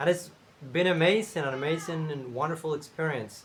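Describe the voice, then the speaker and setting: A man speaks with a Spanish accent at a moderate pace. His pitch is fairly high, with ordinary pitch variation. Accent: Spanish-speaking accent in English. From Cuba. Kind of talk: casual talk to camera. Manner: hesitant, many fillers.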